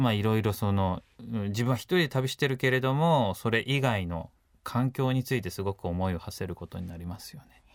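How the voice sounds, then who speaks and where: A man talks at medium pitch with lively intonation and big swings in loudness. The recording is very clean, with a silent background. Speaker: photographer and adventurer. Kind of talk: interview. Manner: casual, hesitant fillers.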